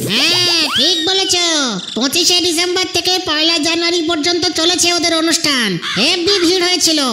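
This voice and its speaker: The speaker uses a cartoonish character voice at an extremely high pitch and a moderate pace. Background noise is clearly audible. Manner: casual, explanatory.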